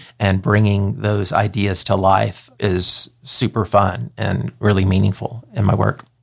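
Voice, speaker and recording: A man with an American accent speaks at a fairly slow pace, with hardly any pauses. His fairly low pitch carries vocal fry and ordinary pitch variation. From East Texas (Kilgore). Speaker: advertising agency president. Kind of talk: interview conversation.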